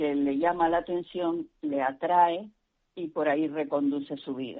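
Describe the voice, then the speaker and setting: Her voice fairly low in pitch, the woman talks with ordinary ups and downs in tone. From Canary Islands. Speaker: religious sister and catechist. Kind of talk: interview. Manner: hesitant, many fillers.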